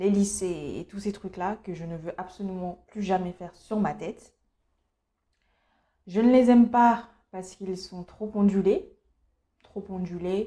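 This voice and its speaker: Speaking at a fairly slow pace with long, frequent pauses, a woman uses a medium pitch and a dark, mellow tone, her intonation fairly even but her loudness swinging widely. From Cameroon. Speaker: beauty youtuber. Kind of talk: casual vlog monologue. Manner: hesitant, many fillers.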